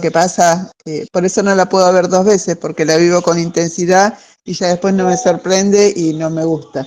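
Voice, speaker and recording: A woman's medium-pitched voice at a fairly slow pace, with fairly even intonation and an Argentine accent. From Argentina, Patagonia. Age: 60s. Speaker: book club member. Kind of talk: casual discussion. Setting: video call. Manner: halting.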